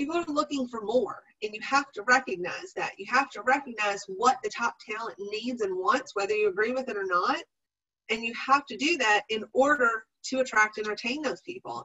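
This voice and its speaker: A woman with an ordinary speaking voice at a fairly high pitch, lively intonation, big swings in loudness and a moderate pace. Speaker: professional development presenter. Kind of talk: webinar presentation.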